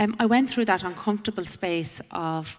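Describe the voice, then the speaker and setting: A woman with an Irish accent talks at a moderate pace with ordinary pitch variation. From Ireland. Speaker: panelist sharing personal testimony. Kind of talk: testimony.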